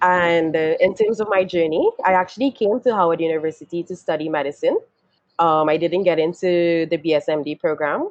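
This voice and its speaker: A woman with a slight Trinidadian accent, fairly low pitch and ordinary pitch variation, in a dry, close sound with no echo. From Trinidad and Tobago. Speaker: software engineer, webinar panelist. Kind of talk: panel self-introduction.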